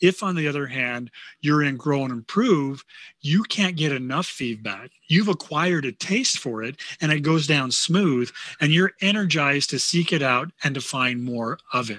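The man's tone is bright and sharp, fairly high in pitch, with lively intonation at a moderate pace. The sound is dry and close with no echo against a quiet background. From Pleasant Grove. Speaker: leadership development consultant. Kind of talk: interview.

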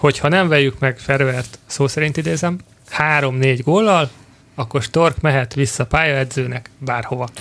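A man's fairly high voice, a normal speaking voice at a fairly slow pace with ordinary pitch variation. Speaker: football podcast host. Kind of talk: casual chat.

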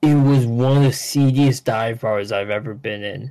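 A man with an American accent talks at a fairly slow pace in an unremarkable speaking voice, with medium pitch and ordinary pitch variation. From Connecticut, New Haven County. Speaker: comedian. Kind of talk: casual chat.

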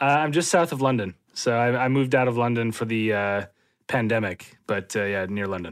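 With an Upper Midwest accent, a man talks at a fairly quick pace in a medium pitch with ordinary variation. The recording is very clean, with a silent background. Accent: Upper Midwest American. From Minnesota, US. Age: 30s. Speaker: political scientist and professor. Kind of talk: interview conversation.

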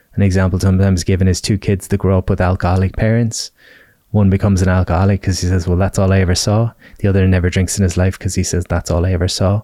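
A man with a very deep, low pitch and a western Irish accent at a very fast pace, monotone with flat intonation and very even loudness, in a dry, close sound with no echo on a very clean recording with a silent background. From Ireland. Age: 30s. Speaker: wellness coach and author. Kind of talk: podcast interview.

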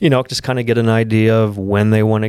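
A man speaks with an American accent in a monotone, flat intonation. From Pennsylvania. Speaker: fishing and hunting travel outfitter. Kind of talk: casual interview.

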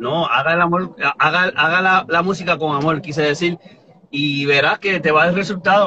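This man's pitch is high and his intonation fairly even. He speaks at a moderate pace. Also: very even loudness. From New Jersey and Puerto Rico (born Boston). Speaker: reggaeton artist. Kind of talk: interview. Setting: live stream from home.

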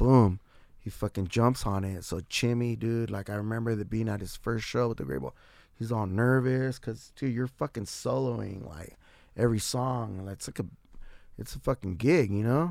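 Speaking at a moderate pace with an American accent, a man with a normal speaking voice and medium pitch uses lively intonation. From San Diego, California. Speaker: musician and bandleader. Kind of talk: casual interview chat.

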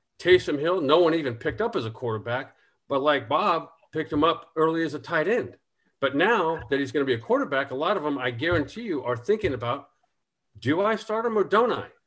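At a fairly quick pace, a man with a plain, everyday voice speaks at a fairly high pitch with lively intonation. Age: 50s. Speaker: former NFL quarterback, fantasy football analyst. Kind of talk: casual chat.

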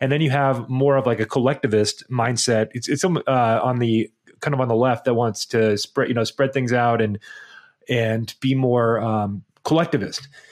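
A plain, everyday voice from a man at medium pitch, moderate pace, very even loudness and fairly even intonation, in a dry, close sound with no echo against a quiet background. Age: 30s. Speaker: podcast co-host. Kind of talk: casual chat. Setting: remote recording.

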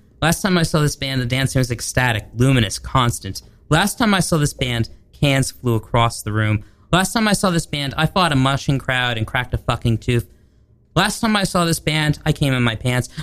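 With music playing in the background, a man at a medium pitch speaks at a moderate pace with lively intonation. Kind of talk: casual interview chat. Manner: halting, rambling, self-correcting.

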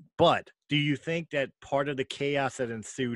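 In a very clean recording with a silent background and a dry, close sound with no echo, a man with an American accent speaks fairly slowly with ordinary pitch variation. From Philadelphia. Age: 40s. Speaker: podcast host. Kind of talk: casual chat.

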